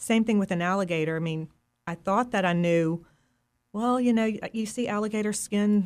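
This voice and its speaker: The speaker has an ordinary speaking voice with an American accent, ordinary pitch variation and a fairly quick pace, on a very clean recording with a silent background. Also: woman. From US South, Mississippi Delta. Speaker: fish printing artist. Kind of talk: interview conversation.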